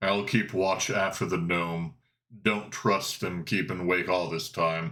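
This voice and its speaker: This is a man using a put-on character voice. His pitch is very deep and low, and he talks at a fairly slow pace. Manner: gruff.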